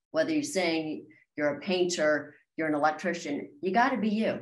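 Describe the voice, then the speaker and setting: A woman with an American accent talks in a fairly low voice with lively intonation, and audible room echo surrounds her. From Maryland, near Washington D.C; Maryland. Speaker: country singer-songwriter; guest. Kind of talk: interview. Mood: warm, enthusiastic. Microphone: video call.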